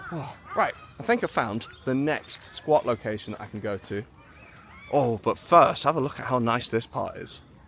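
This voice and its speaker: A man's medium-pitched voice at a moderate pace, lively in intonation, with big swings in loudness and noticeable background noise. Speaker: live streamer. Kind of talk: casual chat. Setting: outdoors. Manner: chatty.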